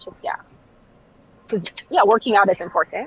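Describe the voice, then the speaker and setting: A woman with a Southern Californian accent. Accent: Valley Girl. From Jamaica. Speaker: clothing brand founder. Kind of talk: casual interview.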